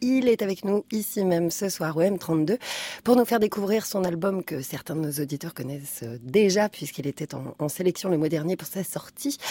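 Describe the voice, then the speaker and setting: Lively intonation from a woman with a dark, mellow tone and fairly low pitch, at a moderate pace, in a dry, close sound with no echo. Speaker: radio host. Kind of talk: radio show presenting. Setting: studio.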